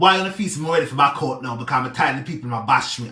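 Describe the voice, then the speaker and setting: A man's animated voice with very wide pitch swings. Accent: Jamaican. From Jamaica. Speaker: social media personality, charity helper. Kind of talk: live video rant.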